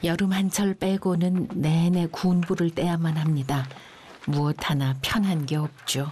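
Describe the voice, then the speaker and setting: Very slow, calm delivery with fairly even intonation, very even loudness, and noticeable background noise. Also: woman, fairly low pitch for a woman. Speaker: documentary narrator. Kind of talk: documentary narration. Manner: calm, reflective.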